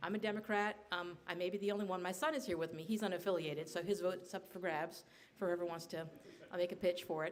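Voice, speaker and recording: At a very fast pace, a woman speaks with medium pitch and fairly even intonation. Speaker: state senator. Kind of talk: panel speech. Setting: bar event with audience. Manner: soft-spoken; calm, low energy.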